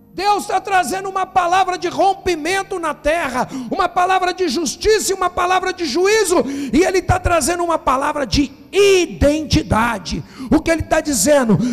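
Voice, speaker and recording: Over noticeable background noise, a man speaks at an extremely high pitch with ordinary pitch variation and a moderate pace. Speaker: pastor. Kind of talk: sermon.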